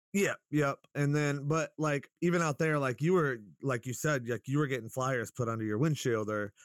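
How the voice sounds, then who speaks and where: A man's ordinary speaking voice with an American accent, fairly high in pitch, with lively intonation at a moderate pace, in a dry, close sound with no echo. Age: 30s. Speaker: local rapper and musician. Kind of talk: casual interview chat. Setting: video call. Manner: laid-back, profane.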